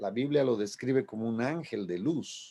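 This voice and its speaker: A man at a fairly slow pace with lively intonation against a quiet background. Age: 60s. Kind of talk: radio sermon. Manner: halting, with repetitions.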